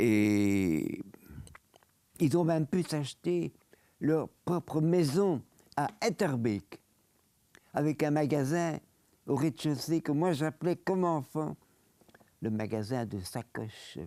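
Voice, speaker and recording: A man's fairly high, dark and mellow voice with lively intonation, a very slow pace and long, frequent pauses, in a dry, close sound with no echo. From Belgium, Brussels. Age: 90s. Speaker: Holocaust survivor and lawyer. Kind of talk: interview testimony.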